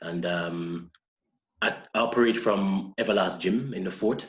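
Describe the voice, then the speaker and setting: Very deep, low pitch from a man in a Jamaican accent, with fairly even intonation. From Jamaica, Saint Ann parish. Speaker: personal trainer and model. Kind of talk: podcast interview. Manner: hesitant, with fillers.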